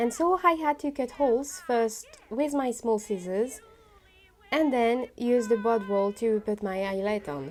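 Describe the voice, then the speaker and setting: A woman with a French accent speaks at a fairly slow pace, her fairly high pitch carried by lively intonation. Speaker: costume maker. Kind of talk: sewing vlog narration.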